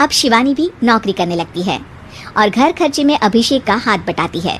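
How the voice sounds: Lively intonation marks a woman's fairly high-pitched voice. Her tone is fairly bright and her pace moderate.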